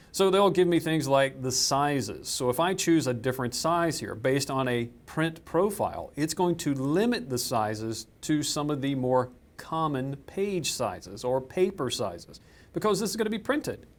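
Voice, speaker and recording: A man with a Southern US accent talks at a moderate pace in a fairly high pitch with lively intonation. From US South. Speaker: software trainer. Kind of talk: tutorial.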